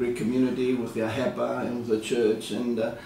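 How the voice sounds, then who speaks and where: A man's medium-pitched voice with an Australian accent at a fairly quick pace, with audible room echo and noticeable background noise. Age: 70s. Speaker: retired insurance broker and community leader. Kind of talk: interview. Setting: his office. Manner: hesitant, many fillers.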